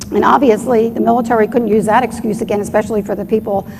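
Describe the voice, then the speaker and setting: Noticeable background noise runs through the clip. The pace is fairly quick. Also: woman. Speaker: doctor and UFO researcher presenting at a conference. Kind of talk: conference presentation. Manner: fast.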